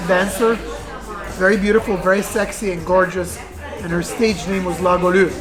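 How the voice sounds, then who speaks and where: A woman with an Egyptian accent at a medium pitch, fairly even intonation and a moderate pace, with audible room echo and music in the background. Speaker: restaurant owner. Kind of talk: interview. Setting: in a restaurant. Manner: halting, many fillers.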